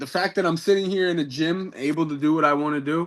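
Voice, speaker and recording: With a New York accent, a man talks at a moderate pace and with fairly even intonation over a quiet background. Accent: New York American. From New York, Peekskill. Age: 20s. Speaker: professional boxer. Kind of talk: interview. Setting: gym. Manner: halting, many false starts.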